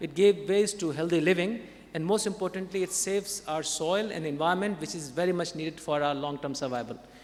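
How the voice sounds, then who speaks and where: A man's high pitch and non-native accent, at a fairly quick pace with hardly any pauses. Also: ordinary pitch variation. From India. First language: not English. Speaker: conference panelist. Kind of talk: panel Q&A answer; conference presentation. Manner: halting.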